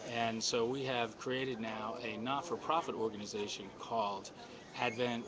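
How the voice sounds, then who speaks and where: Noticeable background noise behind a man's fairly slow, medium-pitched speech. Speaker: filmmaker. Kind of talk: interview.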